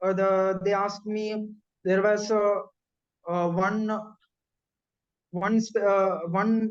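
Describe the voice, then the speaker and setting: A man with a Keralan accent speaks at a high pitch in a monotone, flat intonation. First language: Malayalam. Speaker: bank officer recounting exam success. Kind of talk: interview. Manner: halting, many fillers.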